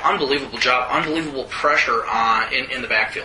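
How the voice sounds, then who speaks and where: A man with an American accent and a fairly high pitch, ordinary pitch variation, audible room echo and noticeable background noise. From Wisconsin. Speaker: sports editor and podcast host. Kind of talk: casual sports chat.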